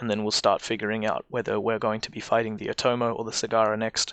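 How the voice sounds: A man speaks fast at a fairly low pitch with little pitch movement. His tone is fairly bright, clear and smooth.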